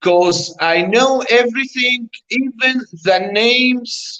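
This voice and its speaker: In an Arabic accent, this voice moves at a very slow pace. The intonation is lively, and the tone is bright and sharp. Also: man. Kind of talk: interview. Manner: halting.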